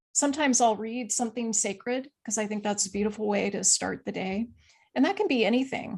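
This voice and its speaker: A woman speaks with a fairly high pitch and ordinary pitch variation. The background is quiet. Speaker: physician and author. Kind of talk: podcast interview.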